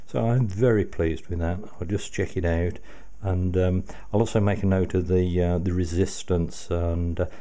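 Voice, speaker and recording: A man with a very deep, low pitch and a dark, mellow tone talks at a moderate pace with fairly even intonation. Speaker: radio restoration hobbyist. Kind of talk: casual tutorial commentary. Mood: pleased, grateful. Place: home room.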